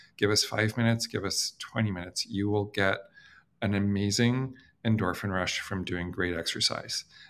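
A man speaks in a plain, everyday voice, fairly low in pitch, with ordinary pitch variation and a fairly quick pace. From Canada. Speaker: company founder and CEO. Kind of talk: interview. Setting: video call.

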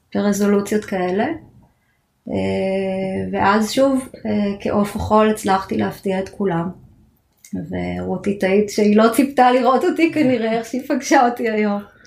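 Her pitch at a medium level with ordinary variation, a woman speaks in a plain, everyday voice. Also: moderate pace. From Israel. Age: 40s. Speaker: cancer patient. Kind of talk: interview testimony. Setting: studio.

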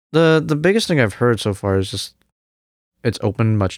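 A man with a Cantonese accent speaks at a moderate pace with lively intonation, in a very clean, dry, close recording with a silent background and no echo. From Hong Kong, then Canada from age nine. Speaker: jazz music student. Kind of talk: casual interview chat.

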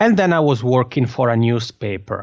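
Speaking at a moderate pace with lively intonation, the voice carries an Italian accent. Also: man. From Italian-speaking Switzerland. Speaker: podcaster and podcasting coach. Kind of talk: interview. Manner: enthusiastic.

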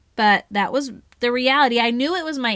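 Talking at a fairly quick pace, a woman with an American accent has a high pitch and a bright, sharp, animated tone, on a very clean recording with a silent background. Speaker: educator podcast host, former teacher. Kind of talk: solo podcast monologue. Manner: fast.

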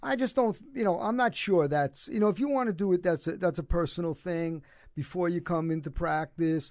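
A man with a Brooklyn accent talks at a fairly quick pace in a high voice with lively intonation, on a very clean recording with a silent background. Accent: New York (Brooklyn). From Brooklyn, New York. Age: 70s. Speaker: cancer survivor and former basketball coach. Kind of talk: casual interview chat. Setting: studio.

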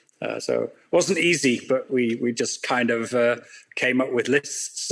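At a moderate pace, a man with a British accent talks at a medium pitch with ordinary pitch variation. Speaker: factory owner and author. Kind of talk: casual interview.

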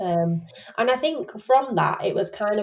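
A woman speaks with a Yorkshire accent. Her pace is moderate. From Sheffield, Yorkshire. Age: 20s. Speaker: podcast host. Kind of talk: casual chat.

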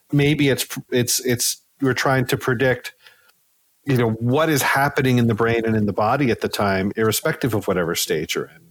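A man speaks at a moderate pace in an ordinary speaking voice, medium in pitch with ordinary pitch variation. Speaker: sleep scientist. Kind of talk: casual interview.

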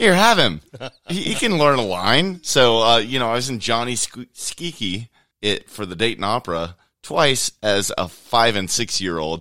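Over a very clean recording with a silent background, a man's bright, sharp voice makes very wide pitch swings. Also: medium pitch for a man, moderate pace. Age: 40s. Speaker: chef and local musician. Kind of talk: casual chat.

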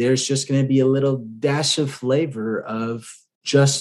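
A man talks at a medium pitch. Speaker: podcast host and real estate investor. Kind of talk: solo podcast monologue. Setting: home apartment at night. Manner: subdued, keeping quiet.

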